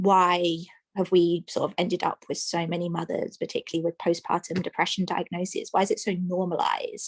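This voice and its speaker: A woman with an English accent at a fairly quick pace, the sound dry and close with no echo. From England, London. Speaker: maternal mental health practitioner. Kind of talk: radio interview.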